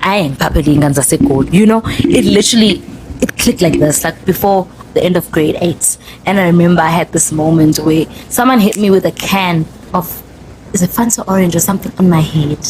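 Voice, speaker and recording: At a fairly quick pace, a woman with a Zulu accent speaks in an animated tone at a fairly low pitch, with ordinary pitch variation, very even loudness and noticeable background noise. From South Africa, Zulu-speaking KwaZulu-Natal. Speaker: podcast host. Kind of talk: casual chat.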